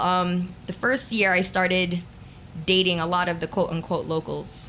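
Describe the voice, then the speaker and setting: This voice speaks with a New York accent. It keeps a moderate pace. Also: woman. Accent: New York American. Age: 40s. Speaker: radio DJ. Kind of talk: casual interview chat. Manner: animated.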